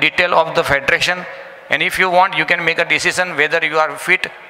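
Monotone and flat in intonation, a man talks high in pitch at a fairly quick pace. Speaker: presenter. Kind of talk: presentation speech. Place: hall.

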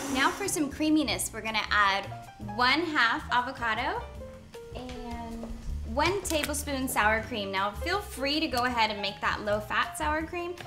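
A woman with a high pitch talks at a fairly slow pace over clear music in the background. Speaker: chef host. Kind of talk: tutorial. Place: kitchen. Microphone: lapel.

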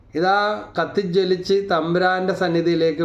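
A man talks in a monotone, flat voice. Audible room echo surrounds him. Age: 50s. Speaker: lay preacher. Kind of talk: sermon.

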